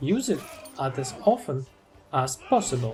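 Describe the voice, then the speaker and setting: Someone with a non-native accent speaks at a fairly slow pace. Music plays in the background. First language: not English. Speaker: video game guide narrator. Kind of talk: scripted narration.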